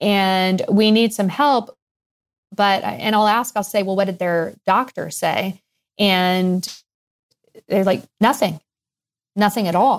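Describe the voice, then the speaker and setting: Delivered at a very slow pace with long, frequent pauses, this voice has an American accent and ordinary pitch variation in a very clean recording with a silent background. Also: woman, medium pitch for a woman. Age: 50s. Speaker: pediatrician and weight coach. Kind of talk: interview.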